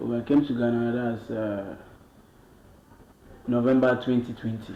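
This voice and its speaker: Over noticeable background noise, a man speaks at a medium pitch and moderate pace with monotone, flat intonation. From Cameroon, Bamenda. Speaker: musician. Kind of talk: interview.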